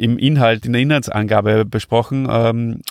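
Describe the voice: The voice has vocal fry and little pitch movement. The sound is dry and close, with no echo. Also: man.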